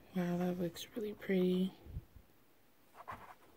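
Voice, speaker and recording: Against noticeable background noise, a woman speaks at medium pitch. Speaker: beauty vlogger. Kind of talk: makeup tutorial.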